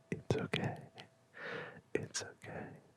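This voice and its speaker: Someone whispers at a very slow pace. Noticeable background noise sits behind the whisper. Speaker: ASMR creator. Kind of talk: ASMR whisper video. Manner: whispered.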